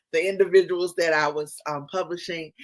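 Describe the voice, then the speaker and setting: A woman with a North Carolina accent and a fairly low pitch on a very clean recording with a silent background. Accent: Southern, North Carolina. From US South, North Carolina. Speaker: podcast host and publisher. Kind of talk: interview conversation.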